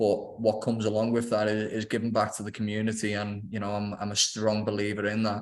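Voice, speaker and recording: With a Liverpool accent, a man speaks at a very fast pace with hardly any pauses, his fairly low pitch held in monotone, flat intonation. Audible room echo surrounds him. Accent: Scouse (Liverpool). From Liverpool, England. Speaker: property developer. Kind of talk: investment webinar presentation. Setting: video call webinar.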